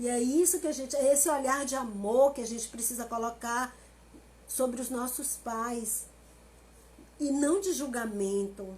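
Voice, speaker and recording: With an animated tone and a high pitch, a woman talks with ordinary pitch variation and long, frequent pauses. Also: fairly slow pace. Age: 50s. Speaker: family constellation therapist. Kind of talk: live stream talk.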